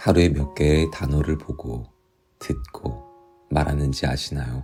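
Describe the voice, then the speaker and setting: A man's very deep, low voice at a very slow pace, calm and soothing in tone, with fairly even intonation over music in the background. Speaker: actor. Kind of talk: audiobook reading. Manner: calm, soothing.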